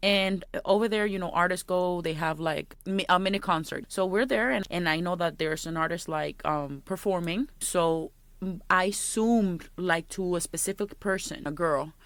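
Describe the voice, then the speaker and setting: Ordinary pitch variation and a moderate pace in a strong Puerto Rican accent, on a very clean recording with a silent background. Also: woman, medium pitch for a woman. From Puerto Rico. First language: Spanish. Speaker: podcast co-host. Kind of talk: casual chat.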